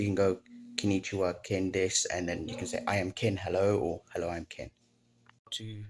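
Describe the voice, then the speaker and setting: A man with a South African accent, fairly low in pitch, with fairly even intonation and a moderate pace, on a very clean recording with a silent background. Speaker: language learner vlogger. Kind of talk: casual recap vlog. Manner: halting, self-correcting.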